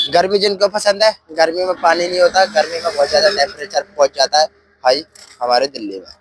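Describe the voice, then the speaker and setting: Dry, close sound with no echo carries a fairly slow voice that has ordinary pitch variation and big swings in loudness. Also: man, high pitch for a man. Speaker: YouTuber. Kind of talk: vlog commentary. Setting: outdoors by expressway.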